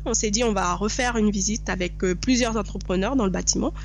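A woman talks at a fairly quick pace, with noticeable background noise and audible room echo around her. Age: 30s. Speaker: real estate investor. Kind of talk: interview.

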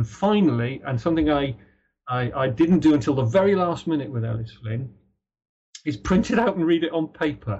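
Somewhat breathy and fairly high-pitched, a man talks at a fairly quick pace with lively intonation. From Ireland, Dublin, then Britain. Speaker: author. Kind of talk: interview. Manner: halting.

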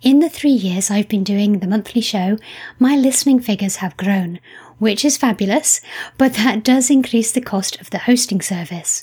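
Her voice is somewhat breathy and fairly high in pitch, with ordinary pitch variation. The woman speaks at a moderate pace. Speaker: podcast host and novelist. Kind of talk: interview. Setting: remote interview.

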